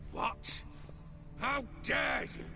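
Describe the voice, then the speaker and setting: A man puts on a character voice over loud background noise. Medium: video game.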